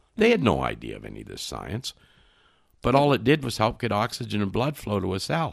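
The loudness of this man's voice rises and falls dramatically. He talks very fast. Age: 70s. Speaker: nutrition and fatty acid expert. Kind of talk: podcast interview.

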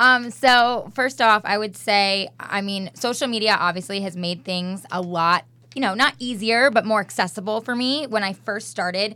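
A woman with an American accent talks at a moderate pace, barely pausing, with ordinary pitch variation. Her tone is bright and sharp, and the recording is very clean with a silent background. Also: medium pitch for a woman. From New York. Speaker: celebrity stylist. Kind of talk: casual chat. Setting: studio.

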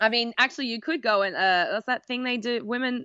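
With an Australian accent, a woman talks at a fairly quick pace in an animated tone. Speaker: travel blogger and producer. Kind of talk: casual chat. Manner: animated, laughs often.

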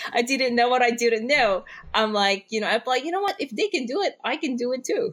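A woman with a high voice talks at a fairly quick pace, her pitch swinging very widely. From Philippines. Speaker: endurance athlete. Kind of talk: interview.

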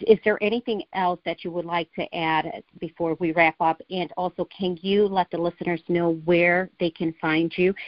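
A woman with an American accent has an ordinary speaking voice, fairly low in pitch, at a moderate pace. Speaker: podcast host. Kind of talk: interview.

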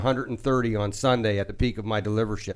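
With an American accent, a man speaks at a medium pitch using fairly even intonation. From Washington DC area, US. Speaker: contracting company owner. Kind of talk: radio interview.

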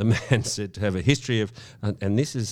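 A very fast-talking man with an Australian accent and ordinary pitch variation, on a very clean recording with a silent background. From Sydney, eastern suburbs. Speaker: podcast host. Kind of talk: casual chat.

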